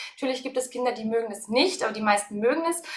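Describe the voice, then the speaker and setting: Her voice sits high for a woman. The pitch moves up and down in a normal way. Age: 30s. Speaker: early childhood educator. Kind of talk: interview.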